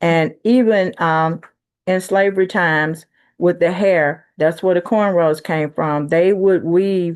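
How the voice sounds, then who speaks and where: A woman in a Southern US accent, fairly low in pitch, at a fairly slow pace with fairly even intonation and a quiet background. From US South, Birmingham, Alabama. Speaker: talk show host. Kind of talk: closing remarks of an online talk show. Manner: loud.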